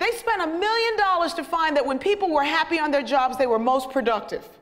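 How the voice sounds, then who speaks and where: A woman talks at a fairly quick pace in a high, animated voice with very wide pitch swings. Noticeable background noise and audible room echo fill the recording. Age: 50s. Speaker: sociologist and motivational speaker. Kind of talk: humorous inspirational talk. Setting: stage with audience.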